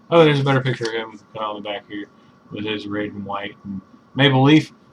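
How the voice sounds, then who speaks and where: A man's pitch varies in an ordinary way as noticeable background noise carries on behind him. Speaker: comic book reviewer. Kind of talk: casual talk to camera.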